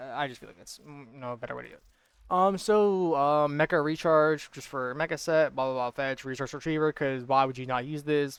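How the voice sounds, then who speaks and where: A man at a very fast pace and a fairly high pitch. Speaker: gaming YouTuber. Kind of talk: gameplay build tutorial. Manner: filler-heavy, halting.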